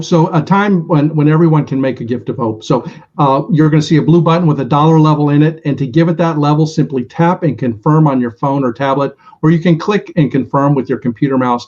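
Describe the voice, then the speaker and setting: This man talks at a very fast pace in a fairly high, somewhat breathy voice. His pitch varies in an ordinary way. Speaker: benefit auctioneer. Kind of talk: charity paddle-raise instructions to the audience. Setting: virtual event with online bidders. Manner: clear, encouraging, measured.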